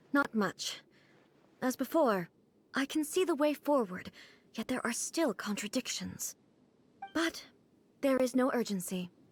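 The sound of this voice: A woman's put-on character voice, high-pitched with a slightly husky edge, lively intonation, slow pace and long, frequent pauses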